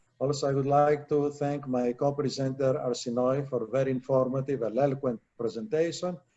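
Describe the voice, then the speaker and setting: A man with a Greek accent speaks at a medium pitch and a fairly quick pace, with hardly any pauses. His loudness stays very even and his intonation fairly even. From Greece. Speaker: attorney presenter. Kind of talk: presentation and thanks. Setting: virtual live event.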